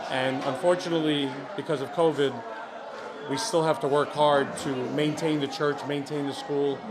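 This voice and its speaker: Over music in the background and with audible room echo, a man with a New York accent speaks at a moderate pace, his pitch fairly high and his intonation fairly even. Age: 50s. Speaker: community leader. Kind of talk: interview. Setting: private home event.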